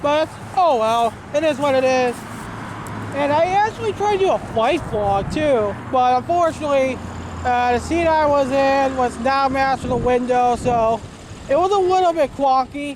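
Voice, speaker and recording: Mumbling in an American accent, a woman with a high pitch keeps her loudness very even against noticeable background noise. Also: lively intonation, moderate pace. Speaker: vlogger. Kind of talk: casual monologue vlog. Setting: outdoors. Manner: rambling, hesitant with repetitions.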